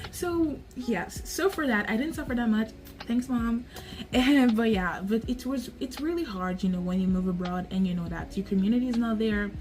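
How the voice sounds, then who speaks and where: Over noticeable background noise, a woman with a fairly high voice speaks at a moderate pace with lively intonation. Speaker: vlogger. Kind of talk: casual vlog monologue. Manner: animated.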